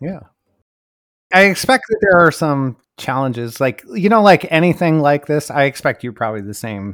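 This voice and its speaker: A man speaks at a moderate pace with a fairly high pitch and very wide pitch swings. The sound is dry and close, with no echo. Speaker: developer advocate. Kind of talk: casual interview.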